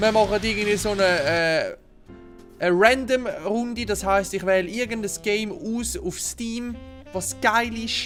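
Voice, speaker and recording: Over music in the background, someone with a Swiss accent talks at a fairly slow pace with ordinary pitch variation. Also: man, high pitch for a man. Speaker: gamer. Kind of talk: casual let's play gaming commentary.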